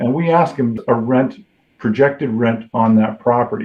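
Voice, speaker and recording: Very wide swings in pitch from a male speaker. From Toronto, Canada. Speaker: mortgage lender. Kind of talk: podcast interview answer.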